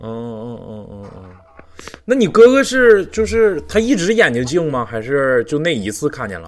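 Over noticeable background noise, a man with a Northeastern Chinese accent speaks at a moderate pace in a fairly high voice with very wide pitch swings. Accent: Northeastern Mandarin. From Northeast China. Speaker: podcast host. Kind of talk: live-stream podcast hosting. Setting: live online voice call.

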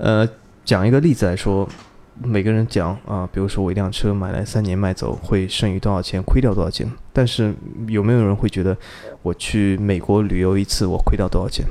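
A man with a dark, mellow tone and fairly low pitch talks at a fairly quick pace with fairly even intonation. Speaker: car enthusiast, podcast listener. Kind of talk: casual interview chat. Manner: gentle, soft-spoken.

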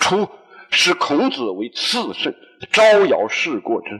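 A man speaks at a very slow pace. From Hunan, China. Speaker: university lecturer. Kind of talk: public lecture. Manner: halting with fillers.

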